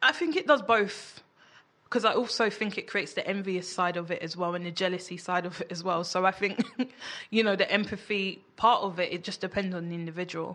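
A London accent at a fairly quick pace, bright and sharp in tone, over a quiet background. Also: woman, medium pitch for a woman. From London (Peckham). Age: 30s. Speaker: entrepreneur. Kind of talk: casual chat. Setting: studio.

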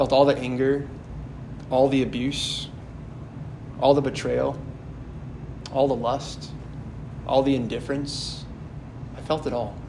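Flat, monotone speech with an American accent at a fairly slow pace, with long, frequent pauses, noticeable background noise and audible room echo. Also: man, medium pitch for a man. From Wisconsin, near Sheboygan. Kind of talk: homily. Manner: halting, repeats words.

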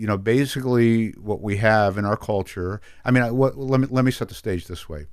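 Recorded very cleanly against a silent background, a man talks in a plain, everyday voice with ordinary pitch variation. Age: 60s. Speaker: addiction treatment executive. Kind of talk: radio interview. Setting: studio.

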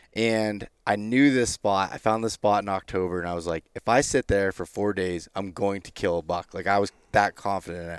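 Speaking with a plain, everyday voice, a man talks at a fairly quick pace with hardly any pauses, his fairly low pitch holding fairly even intonation amid big swings in loudness, in a dry, close sound with no echo. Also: very clean recording, silent background. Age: 30s. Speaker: hunter and podcast host. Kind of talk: casual chat. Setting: in person, Utah.

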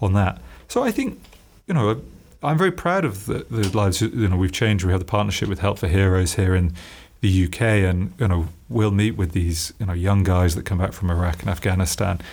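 A man speaks in a British accent with a very deep, low pitch, somewhat breathy. His pace is fairly quick, his pitch varies in an ordinary way, his loudness stays very even, and the recording is very clean with a silent background. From UK. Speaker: entrepreneur, company founder. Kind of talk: interview. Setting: company office.

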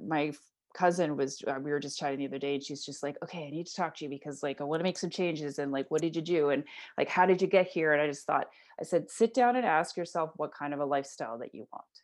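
Against a quiet background, a woman with an Ontario accent speaks at a very deep, low pitch with ordinary pitch variation. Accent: Canadian (Ontario). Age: 40s. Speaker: entrepreneur and mental health advocate. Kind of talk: interview conversation.

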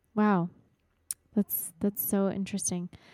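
Monotone, flat intonation in an American accent comes through a dry, close sound with no echo in a very clean recording with a silent background. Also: woman. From Texas, US. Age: 30s. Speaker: podcast co-host, mother. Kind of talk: casual chat.

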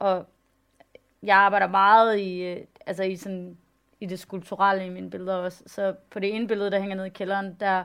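Her intonation is monotone and flat. The woman's voice sits at a medium pitch. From Denmark, West Jutland. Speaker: photographer and artist. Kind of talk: public talk on stage.

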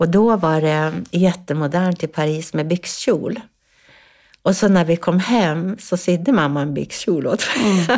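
On a very clean recording with a silent background, a woman speaks at a fairly slow pace. Her pitch is fairly low, with ordinary pitch variation. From northern Sweden, Ångermanland. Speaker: influencer and business consultant. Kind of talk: casual chat. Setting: studio. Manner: halting.

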